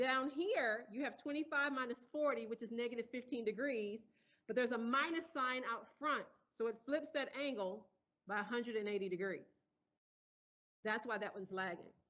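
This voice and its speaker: A woman speaks loudly in a high pitch. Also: ordinary pitch variation, moderate pace. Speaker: engineering professor. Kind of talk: lecture.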